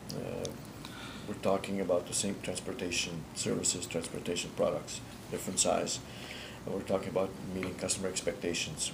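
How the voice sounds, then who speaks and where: Over noticeable background noise, a man with a very deep, low voice talks at a very fast pace. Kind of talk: interview answer. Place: office.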